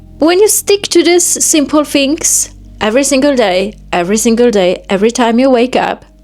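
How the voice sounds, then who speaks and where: With music playing behind her, a woman with a Polish accent and a high voice speaks with very wide pitch swings. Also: moderate pace, very even loudness. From Poland. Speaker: self-help vlogger. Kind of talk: motivational monologue.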